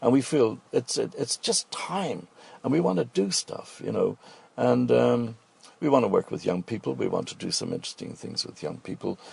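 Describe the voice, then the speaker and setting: A man with a Dublin accent at a moderate pace. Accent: Dublin Irish. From Ireland, Dublin. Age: 70s. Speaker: restaurant owner and cook. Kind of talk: radio interview.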